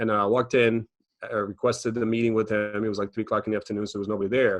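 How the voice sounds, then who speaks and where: This man talks very fast in a Croatian accent, his intonation flat and monotone. The sound is dry and close with no echo over a quiet background. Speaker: financial educator and business owner. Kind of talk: podcast interview.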